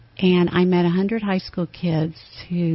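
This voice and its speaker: Somewhat breathy and fairly low, the woman's voice holds a monotone, flat intonation. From Tennessee. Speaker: campus ministry staff. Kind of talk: radio interview. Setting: studio.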